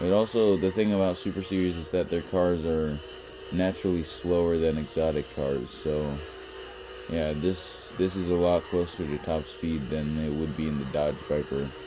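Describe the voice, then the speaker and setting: Music plays in the background. A man with a very deep, low voice speaks with fairly even intonation. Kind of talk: gameplay commentary. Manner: slow.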